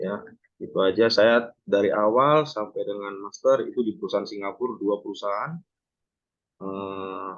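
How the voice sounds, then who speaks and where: A man with a plain, everyday voice speaks fairly low at a fairly slow pace, with ordinary pitch variation. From North Sumatra, Pematang Siantar. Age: 30s. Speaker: ship captain and maritime lecturer. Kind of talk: online class introduction. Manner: casual, filler-heavy.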